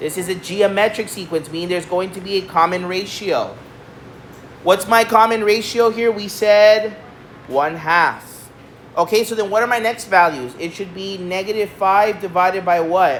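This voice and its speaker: Medium-pitched woman at a moderate pace with ordinary pitch variation, amid audible room echo and noticeable background noise. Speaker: math teacher. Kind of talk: lecture.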